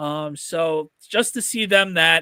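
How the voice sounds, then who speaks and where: Over a very clean, silent background, a man speaks with a North Jersey accent. His voice is fairly high, with a bright, sharp tone. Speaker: sports podcast host. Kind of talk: casual chat.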